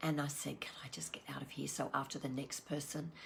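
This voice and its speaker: Speaking in an Australian accent, a woman uses a very deep, low pitch with fairly even intonation. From Australia, Sydney. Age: 60s. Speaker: wellbeing coach. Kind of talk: online wellbeing session talk. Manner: halting.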